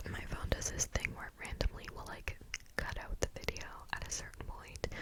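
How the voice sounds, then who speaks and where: A woman whispers at a fairly quick pace. Noticeable background noise runs underneath. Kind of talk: ASMR whisper video, casual talk to camera. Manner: soft, whispered, friendly.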